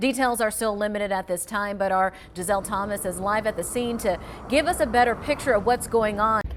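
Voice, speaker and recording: With an American accent, this speaker talks at a fairly quick pace with ordinary pitch variation against noticeable background noise. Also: woman, fairly high pitch for a woman. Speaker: television news anchor and reporter. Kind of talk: TV news anchor delivery.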